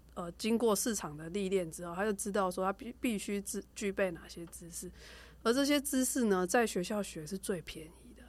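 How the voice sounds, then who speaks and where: A woman with a Taiwanese accent speaks at a moderate pace in a medium pitch, her pitch varying in an ordinary way while her loudness swings widely, on a very clean recording with a silent background. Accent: Taiwanese Mandarin. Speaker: rehabilitation doctor. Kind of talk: casual chat.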